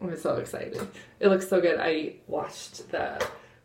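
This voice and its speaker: Quiet and medium in pitch, a woman's voice comes through noticeable background noise and audible room echo. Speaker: vlogger. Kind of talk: casual makeup tutorial. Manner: quiet, hushed; hesitant, lots of fillers.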